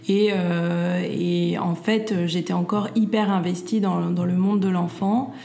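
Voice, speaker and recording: The speech moves at a fairly slow pace with fairly even intonation. Noticeable background noise and audible room echo surround it. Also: woman. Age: 40s. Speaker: entrepreneur and mother. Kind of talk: interview. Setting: at her home. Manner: halting, many fillers and repeats.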